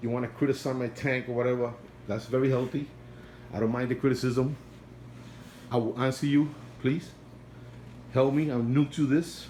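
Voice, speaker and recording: Speaking at a moderate pace with long, frequent pauses, a man with a non-native accent uses a medium pitch and a dark, mellow, somewhat breathy tone in a monotone, flat intonation. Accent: non-native accent, kept since youth. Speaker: aquarium hobbyist vlogger. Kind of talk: casual video update.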